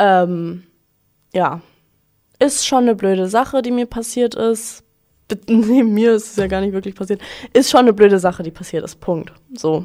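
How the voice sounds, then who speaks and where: At a fairly high pitch with a dark, mellow tone, a woman speaks at a moderate pace with ordinary pitch variation and long, frequent pauses. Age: 20s. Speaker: podcast host, student. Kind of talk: casual storytelling monologue. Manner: animated.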